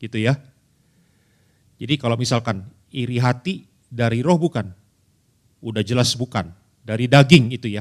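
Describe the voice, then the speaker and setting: With an animated tone and long, frequent pauses, a man speaks at medium pitch in a West Javanese accent. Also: ordinary pitch variation, moderate pace. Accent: Sundanese. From Indonesia, Bandung (West Java). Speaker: pastor. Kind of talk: sermon. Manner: conversational, animated.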